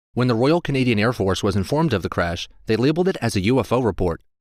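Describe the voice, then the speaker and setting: An unremarkable speaking voice from a man, fairly quick in pace and lively in intonation, on a very clean recording with a silent background. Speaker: voice actor. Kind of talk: documentary-style top list narration.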